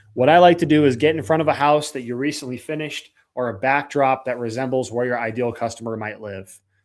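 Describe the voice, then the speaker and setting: A man speaks at a fairly quick pace with fairly even intonation, recorded very cleanly against a silent background. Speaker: roofing sales coach. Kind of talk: live training. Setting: livestream. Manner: high energy.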